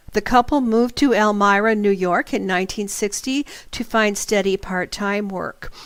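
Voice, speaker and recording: A woman's ordinary speaking voice at medium pitch with fairly even intonation. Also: moderate pace. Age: 60s. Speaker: internet radio host and psychic teacher. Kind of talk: radio talk, storytelling with asides. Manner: conversational with fillers.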